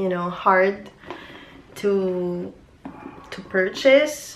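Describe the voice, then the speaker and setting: Noticeable background noise sits behind the speech. The pace is very slow. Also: woman. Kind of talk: casual product review to camera.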